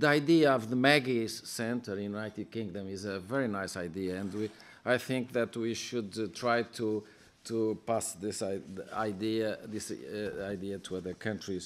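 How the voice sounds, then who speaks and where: In a very clean recording with a silent background, a man talks at a moderate pace with a Portuguese accent. His voice is fairly low in pitch and shows ordinary pitch variation. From Portugal. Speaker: member of European Parliament. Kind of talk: conference speech. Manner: halting, many fillers and repetitions.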